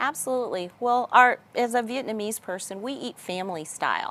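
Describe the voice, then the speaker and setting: A woman speaks with a Texas accent and ordinary pitch variation. The recording is very clean, with a silent background. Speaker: business executive. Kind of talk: interview.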